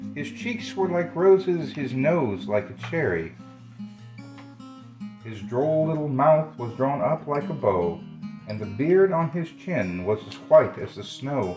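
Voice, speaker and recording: Backed by music, a man with a fairly high pitch speaks at a fairly slow pace, showing very wide pitch swings and big swings in loudness. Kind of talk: children's story reading. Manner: soothing.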